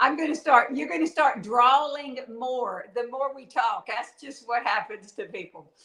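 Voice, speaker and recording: With a Southern US accent, a woman projects a raised, high-pitched voice with a bright, sharp tone, lively intonation, big swings in loudness and hardly any pauses. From Louisiana. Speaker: author. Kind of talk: live interview.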